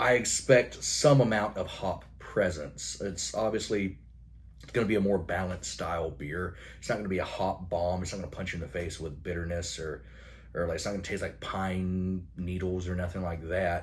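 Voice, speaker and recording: A man's mumbling, very deep, low voice, somewhat breathy, with ordinary pitch variation and audible room echo. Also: moderate pace. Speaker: beer reviewer. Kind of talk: product review monologue.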